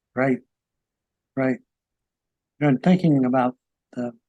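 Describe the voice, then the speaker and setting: The recording is dry and close, with no echo. A man with an American accent speaks in a medium pitch with a dark, mellow tone. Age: 70s. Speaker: talk show host, Vietnam veteran. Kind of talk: interview.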